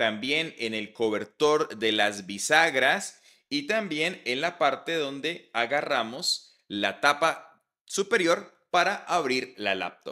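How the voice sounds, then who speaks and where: Very slow and bright, a man's sharp-toned voice swings very widely in pitch against a quiet background. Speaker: tech reviewer. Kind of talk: product review. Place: home room. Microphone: studio mic.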